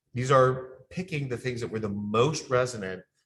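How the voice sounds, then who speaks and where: A man with a bright, sharp tone is heard on a very clean recording with a silent background. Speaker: communications strategy consultant presenting a training. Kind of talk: training presentation. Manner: fast.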